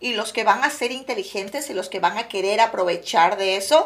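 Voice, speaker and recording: This woman's voice has a bright, sharp tone and lively intonation. She talks at a fairly slow pace. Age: 40s. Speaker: real estate agent. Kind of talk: casual interview. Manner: mixes English into Spanish.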